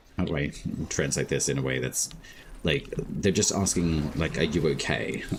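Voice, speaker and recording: Intonation stays fairly even in an Australian accent. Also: man. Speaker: gaming streamer. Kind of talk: casual chat.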